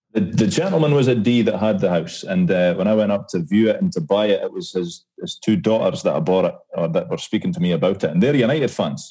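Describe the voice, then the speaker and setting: Speaking very fast with hardly any pauses, a man with a Scottish accent has a dark, mellow tone, medium pitch and very wide pitch swings. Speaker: podcast co-host. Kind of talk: casual chat.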